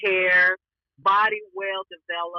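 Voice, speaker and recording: With a Southern US accent, the words come out at a fairly slow pace. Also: woman. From Alabama, Appalachian US South. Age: 50s. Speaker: trauma survivor, podcast guest. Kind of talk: interview answer.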